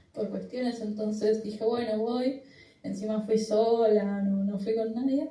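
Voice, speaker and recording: Somewhat breathy and dark, mellow in tone, a woman's fairly high voice moves at a moderate pace with audible room echo. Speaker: slam poet. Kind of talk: interview.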